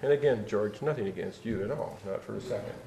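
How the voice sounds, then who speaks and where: A man talking at a very fast pace amid noticeable background noise. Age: 60s. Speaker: public commenter at board meeting. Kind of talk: public comment. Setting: public board meeting.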